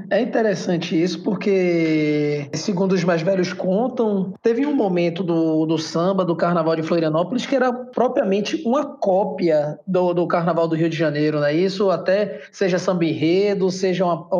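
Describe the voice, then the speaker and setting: The talking moves at a moderate pace with hardly any pauses, over noticeable background noise. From Salvador, Bahia, Brazil. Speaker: podcast host. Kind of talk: interview.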